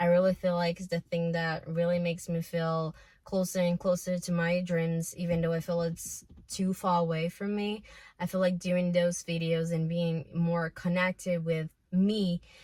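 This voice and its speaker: Somewhat breathy and in a flat monotone, a woman talks at a moderate pace with a fairly low pitch. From Brazil. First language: Portuguese. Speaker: self-improvement vlogger. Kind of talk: casual vlog monologue. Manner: emotional.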